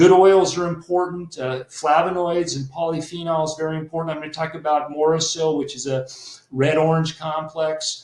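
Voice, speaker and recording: There is noticeable background noise behind this man. He speaks at a moderate pace and a fairly high pitch. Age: 60s. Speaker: naturopathic doctor and health educator. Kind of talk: webinar presentation. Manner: hesitant with many fillers.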